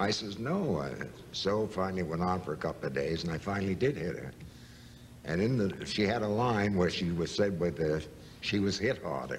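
A man with an American accent speaks at a very deep, low pitch with vocal fry. His pace is moderate, with light background noise. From United States. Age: 80s+. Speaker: actor. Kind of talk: interview answer. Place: studio.

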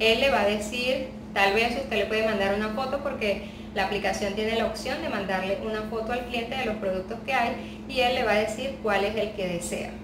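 Noticeable background noise runs under the recording. A woman talks at a fairly quick pace with fairly even intonation. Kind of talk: tutorial. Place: home room.

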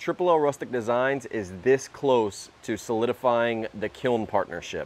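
The man's ordinary pitch variation comes at a moderate pace. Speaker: woodworking channel host. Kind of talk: casual vlog chat. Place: workshop.

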